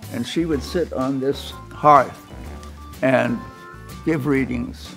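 With an American accent, a man speaks at a very slow pace. Faint music plays in the background. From California. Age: 80s+. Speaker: architect. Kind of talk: interview answer. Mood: warm, reminiscing. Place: home room.

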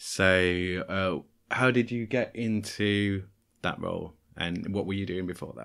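Here is an unremarkable speaking voice, moving at a fairly slow pace with ordinary pitch variation. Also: man, fairly low pitch for a man. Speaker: podcast host. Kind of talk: casual chat.

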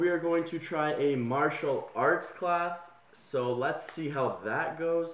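A man's voice with audible room echo. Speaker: vlogger. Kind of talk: casual vlog chat. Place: home room. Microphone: phone near.

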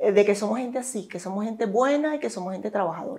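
A woman's dark, mellow tone. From Venezuela. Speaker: gynecologist; interviewee. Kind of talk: interview. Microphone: lapel.

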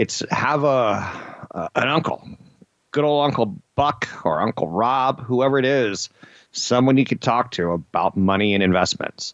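Over a quiet background, a man speaks fairly slowly in a dry recording with no echo. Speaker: radio show host. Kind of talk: radio talk show commentary. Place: studio.

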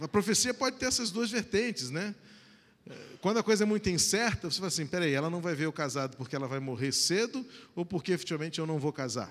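A man's high voice with very wide pitch swings at a very fast pace. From Brazil. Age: 40s. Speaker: pastor. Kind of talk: sermon. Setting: church. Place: church. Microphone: handheld.

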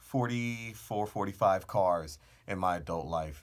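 Against a quiet background, a man speaks in a fairly low voice with ordinary pitch variation. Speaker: car channel host. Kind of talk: casual vlog chat. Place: booth. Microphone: studio mic.

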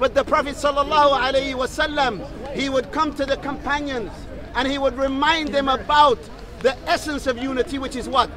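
Crowd noise fills the background behind a man. His extremely high voice sounds dry, with no echo. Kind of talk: public street sermon / dawah speech. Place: open country. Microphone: lapel.

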